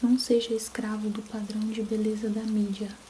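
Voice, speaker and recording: Soft-spoken and gentle in tone, a woman talks at a fairly slow pace with fairly high pitch and flat, monotone intonation over noticeable background noise. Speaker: ASMR content creator. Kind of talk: soft audiobook-style reading of a self-help book. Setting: steady rain sound in the background. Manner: soft-spoken, gentle, relaxing.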